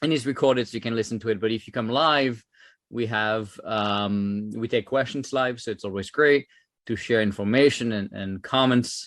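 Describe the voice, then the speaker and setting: In a French accent, a man speaks at a medium pitch with fairly even intonation. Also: moderate pace, quiet background. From France. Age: 30s. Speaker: former government software chief, tech entrepreneur. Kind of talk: conference talk. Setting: virtual conference. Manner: many filler words and hesitations.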